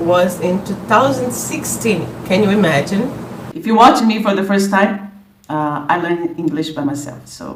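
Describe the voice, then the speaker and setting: A woman with a Brazilian Portuguese accent speaks at a fairly slow pace with lively intonation. The recording has audible room echo and noticeable background noise. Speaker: language content creator. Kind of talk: casual vlog introduction. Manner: animated; halting, many repetitions.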